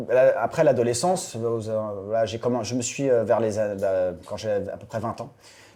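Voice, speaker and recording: At a moderate pace, a man of medium pitch talks with ordinary pitch variation and big swings in loudness. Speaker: voice actor. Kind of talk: interview answer. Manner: casual, hesitant.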